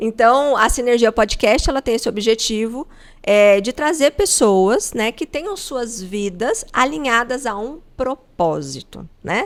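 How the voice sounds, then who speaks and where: A woman's fairly high voice at a very slow pace, with lively intonation and hardly any pauses. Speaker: podcast host; coach. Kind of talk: interview.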